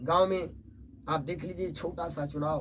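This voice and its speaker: A man's fairly even intonation in audible room echo. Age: 70s. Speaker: poet. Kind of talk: interview.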